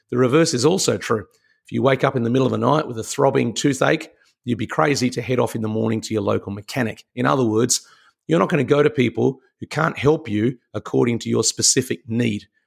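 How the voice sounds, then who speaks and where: This speaker has an Australian accent. The pitch varies in an ordinary way. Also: man, medium pitch for a man. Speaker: leadership mentor and podcast host. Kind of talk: motivational talk.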